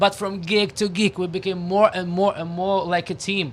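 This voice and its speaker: A man speaks with a strong Russian accent and a high pitch. His intonation stays fairly even. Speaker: rock musician, band frontman. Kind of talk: radio interview. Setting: radio studio. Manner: halting, many fillers and restarts.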